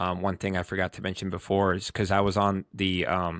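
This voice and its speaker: A man with an American accent and a very deep, low pitch, fairly quick and monotone, flat in intonation, on a very clean recording with a silent background. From New York. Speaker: soldier, combat veteran. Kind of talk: interview answer. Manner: casual, halting.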